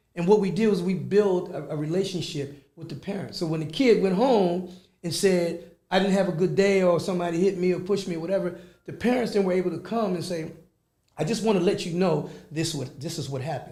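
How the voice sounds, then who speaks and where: A man with an American accent and a high pitch talks at a fairly quick pace, his tone dark and mellow with ordinary pitch variation. There is audible room echo. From Philadelphia, Pennsylvania. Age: 60s. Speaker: youth club executive director. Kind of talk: radio interview.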